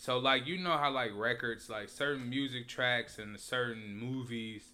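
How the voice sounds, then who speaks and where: At a fairly slow pace, a man talks in an ordinary speaking voice, his pitch medium and his intonation fairly even. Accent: American. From Indianapolis, Indiana, US Midwest. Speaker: podcast co-host, business owner. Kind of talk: casual chat.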